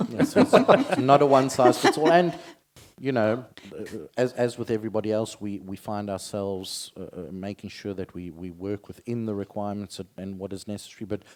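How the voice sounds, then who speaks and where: At a fairly quick pace, a man with a South African accent talks at a fairly low pitch, showing ordinary pitch variation and big swings in loudness. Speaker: insurance company director on a panel. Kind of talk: panel discussion.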